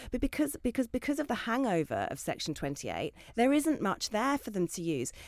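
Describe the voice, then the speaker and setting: A woman in a southern English accent, with a fairly high pitch and very wide pitch swings, on a very clean, dry, close recording with no echo and a silent background. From Essex, England. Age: 40s. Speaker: children's author. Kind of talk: panel discussion.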